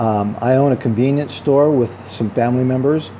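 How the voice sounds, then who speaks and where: Over noticeable background noise, a man talks at a fairly slow pace, medium in pitch, with ordinary pitch variation. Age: 50s. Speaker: vlogger and self-help author. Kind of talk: casual vlog monologue. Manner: hesitant, many fillers; talkative.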